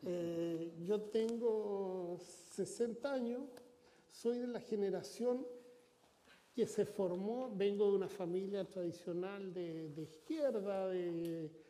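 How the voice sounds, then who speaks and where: A man's high-pitched, very slow speech with audible room echo and noticeable background noise. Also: ordinary pitch variation. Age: 60s. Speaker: foundation president, former political aide. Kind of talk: interview. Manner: halting with repetitions.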